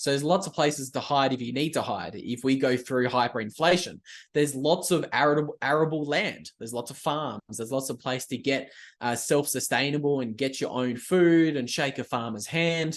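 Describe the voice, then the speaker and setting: At a fairly quick pace, a man with an Australian accent speaks at a fairly high pitch with ordinary pitch variation. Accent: Australian, broad. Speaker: writer and YouTuber, bitcoin commentator. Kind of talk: podcast interview.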